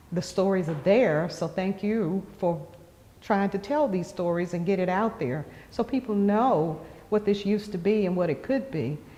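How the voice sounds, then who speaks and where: A woman with an American accent speaks in an unremarkable speaking voice at a medium pitch, keeping a moderate pace and lively intonation. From Western North Carolina. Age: 60s. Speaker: community elder interviewee. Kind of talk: interview. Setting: gallery of a cultural center.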